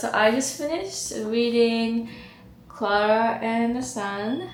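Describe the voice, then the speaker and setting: A woman with a Japanese accent, fairly high pitch and a very slow pace, amid audible room echo and noticeable background noise. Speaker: vlogger. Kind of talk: casual vlog monologue.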